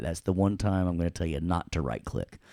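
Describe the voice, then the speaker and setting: In a Southern US accent, a man speaks with a very deep, low pitch and a dark, mellow tone, the sound dry and close with no echo on a very clean recording with a silent background. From US South, Tennessee. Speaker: audio production instructor. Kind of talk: tutorial. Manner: casual, playful.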